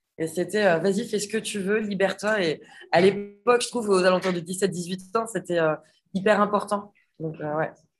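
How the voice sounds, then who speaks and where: A woman with a plain, everyday voice and medium pitch speaks at a moderate pace. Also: fairly even intonation. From western France (Nantes, Vendée). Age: 30s. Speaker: chef and restaurant owner. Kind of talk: casual interview chat.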